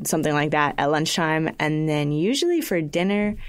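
On a very clean recording with a silent background, a woman with an unremarkable speaking voice talks at a moderate pace with lively intonation. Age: 19. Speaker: college student. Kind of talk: casual chat. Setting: studio.

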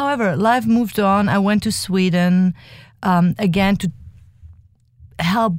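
Some breathiness runs through this delivery, and the pitch varies in an ordinary way. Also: woman. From Germany. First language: German. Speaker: dance company artistic director. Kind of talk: interview. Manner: halting.

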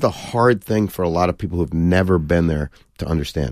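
A man talks at a very fast pace. His voice has vocal fry. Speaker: football coach and TV pundit. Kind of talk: casual interview chat. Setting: studio.

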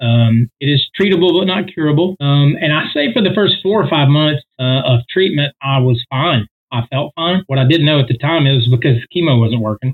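A man's plain, everyday voice, fairly high in pitch with ordinary pitch variation, at a moderate pace with hardly any pauses and very even loudness. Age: 40s. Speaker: singer. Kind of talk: casual chat.

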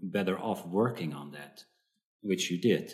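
This man has a very deep, low voice. He speaks with a Dutch accent. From Netherlands. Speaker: psychotherapist. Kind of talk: interview. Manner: halting, many fillers.

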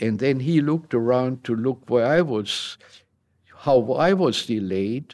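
With a German accent, a man speaks at a medium pitch with ordinary pitch variation on a very clean recording with a silent background. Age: 80s+. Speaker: war veteran. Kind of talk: interview. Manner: animated.

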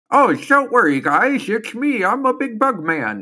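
Someone puts on a character voice with a fairly high pitch. The pace is moderate. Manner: goofy, reassuring.

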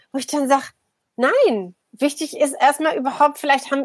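At a moderate pace, a woman talks in a high voice. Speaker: media anthropologist and political scientist. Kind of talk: casual chat.

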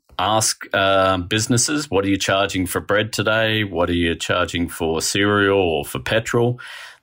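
A man with an Australian accent speaks at a fairly slow pace in a fairly low pitch, his tone bright and sharp with ordinary pitch variation. The recording is very clean, with a silent background. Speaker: economics writer. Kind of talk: interview.

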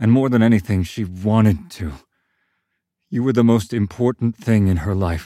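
Long, frequent pauses mark this man's speech. His fairly low voice has a dark, mellow tone. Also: ordinary pitch variation, moderate pace. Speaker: Violet's father, character in audio drama. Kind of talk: scripted audio drama. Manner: gruff, stammering, sarcastic, later soft and sincere.

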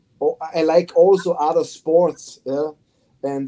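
A man with a German accent speaks at a very slow pace, his fairly high pitch carrying a dark, mellow tone. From Austria. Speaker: football head coach. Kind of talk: interview. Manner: halting.

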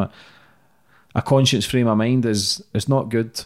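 This is a man speaking with a Scottish accent. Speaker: podcast host. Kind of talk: casual interview.

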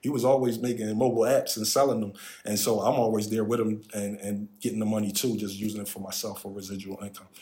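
A man's fairly low voice, very fast and monotone in intonation, over noticeable background noise. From Philadelphia, Pennsylvania. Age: 40s. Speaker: tech advisor. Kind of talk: casual interview.

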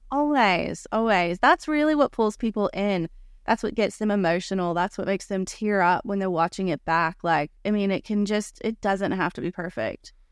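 In an ordinary speaking voice, a woman with an American accent talks at a moderate pace with hardly any pauses, medium pitch and lively intonation, in a dry, close sound with no echo and a quiet background. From United States. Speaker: family filmmaker and awards video director. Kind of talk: interview.

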